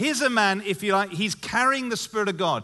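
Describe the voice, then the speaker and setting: The man's voice is raised and projected, bright and sharp in tone. His pitch is high with ordinary variation against a quiet background. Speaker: pastor. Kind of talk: sermon. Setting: church stage with audience.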